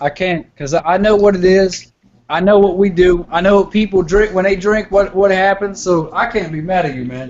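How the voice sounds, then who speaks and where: Speaking at a moderate pace with a Southern US accent, a man uses a high pitch for a man and ordinary pitch variation. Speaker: hangout participant. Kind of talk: casual chat. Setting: video call.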